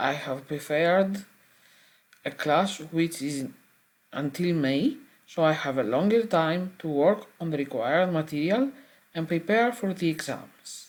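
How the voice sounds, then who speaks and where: A woman with a fairly low voice and a Greek accent talks at a fairly slow pace, with lively intonation and long, frequent pauses. The recording is very clean, with a silent background. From Greece. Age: 40s. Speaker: adult language student. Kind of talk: prepared self-introduction. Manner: formal.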